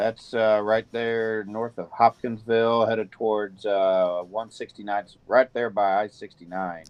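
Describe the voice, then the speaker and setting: With a Missouri accent, a man talks fairly slowly in a fairly low, flat monotone with hardly any pauses. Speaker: weather broadcaster. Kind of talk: live weather coverage.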